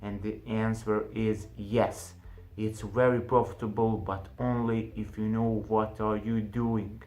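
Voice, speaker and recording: A man's monotone, flat delivery at a very slow pace, with a non-native accent and audible room echo. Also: fairly low pitch for a man. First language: not English. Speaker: online business youtuber. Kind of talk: casual tutorial to camera. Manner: halting, with fillers.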